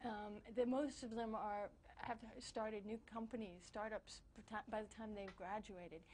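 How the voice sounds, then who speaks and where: A woman speaks at a moderate pace with fairly even intonation. Her voice is somewhat breathy and fairly high-pitched. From France and US, binational. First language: French. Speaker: newspaper bureau chief, journalist. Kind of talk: interview. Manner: halting, many repetitions and fillers.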